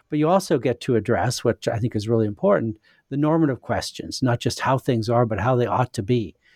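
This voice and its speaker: With a Canadian accent and a plain, everyday voice, a man speaks at medium pitch and a fairly quick pace with ordinary pitch variation, the sound dry and close with no echo on a very clean recording with a silent background. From Western Canada (Saskatchewan). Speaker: philosopher and author. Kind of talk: interview.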